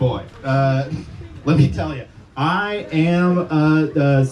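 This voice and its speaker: The pitch is fairly high for this man. Noticeable background noise runs behind him. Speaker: stand-up comedian. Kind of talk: stand-up. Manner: halting.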